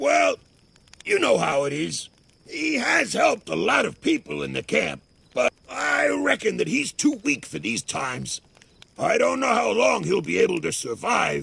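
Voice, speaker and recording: This is a man doing a put-on character voice. He speaks at a moderate pace. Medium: video game. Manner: cynical, threatening.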